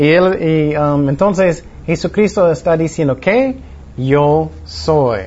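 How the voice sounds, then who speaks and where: Very even in loudness, a man speaks at a very slow pace with a fairly high pitch and ordinary pitch variation. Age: 40s. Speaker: pastor. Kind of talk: Bible study teaching. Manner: halting.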